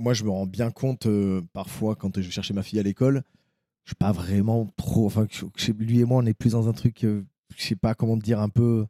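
In a dry, close recording with no echo, a man speaks at a moderate pace with a fairly low pitch, a dark, mellow tone and monotone, flat intonation. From southwest France, Bergerac. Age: 30s. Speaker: co-founder of a fathers' media channel. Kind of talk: casual chat.

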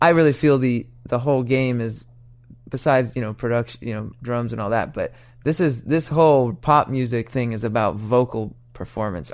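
In an ordinary speaking voice of medium pitch, a man talks at a moderate pace on a very clean recording with a silent background. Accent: American. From Oregon, US Pacific Northwest. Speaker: songwriter and record producer. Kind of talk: interview. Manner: casual, many fillers.

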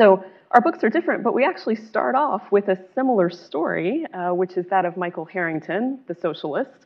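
This unremarkable speaking voice moves at a fairly quick pace with lively intonation and hardly any pauses. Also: woman, medium pitch for a woman. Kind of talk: moderated panel discussion. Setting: luncheon event with audience.

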